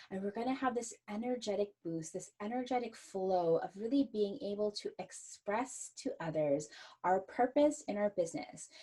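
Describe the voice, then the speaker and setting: A woman's somewhat breathy, dark, mellow voice at a medium pitch, with lively intonation and hardly any pauses. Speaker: astrologer podcast host. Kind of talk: solo podcast forecast talk. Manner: slow.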